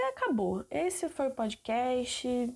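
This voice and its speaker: In a very clean recording with a silent background, a woman speaks in a dark, mellow tone with ordinary pitch variation. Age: 20s. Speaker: podcaster, university student. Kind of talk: casual solo monologue. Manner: informal, rambling conversational.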